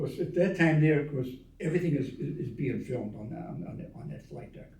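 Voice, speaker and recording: His voice comes out somewhat breathy. This man's pitch moves up and down in an ordinary way. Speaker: Navy veteran. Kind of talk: interview answer. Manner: rambling, hesitant storytelling.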